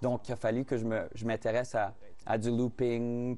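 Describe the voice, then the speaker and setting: With a Saskatchewan accent, a man talks at medium pitch and a fairly slow pace in a dark, mellow tone. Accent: Fransaskois French. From Saskatchewan, Canada (Fransaskois, rural farm). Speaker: singer-songwriter. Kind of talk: TV interview. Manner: halting, many repetitions and fillers.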